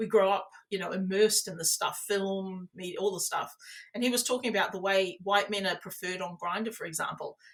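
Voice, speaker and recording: Someone with an Australian accent talks at a fairly quick pace with fairly even intonation. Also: woman, medium pitch for a woman. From New South Wales, Australia. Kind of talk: interview answer.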